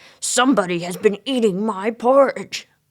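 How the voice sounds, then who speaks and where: A gruff, female-sounding put-on character voice with a fairly high pitch, delivered at a moderate pace. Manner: indignant, growling.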